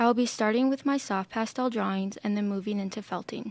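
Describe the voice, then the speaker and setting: With an American accent, a woman uses a plain, everyday voice and fairly even intonation. The recording is very clean, with a silent background. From Minnesota, US Midwest. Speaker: art student. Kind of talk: presentation talk. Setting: podcast room.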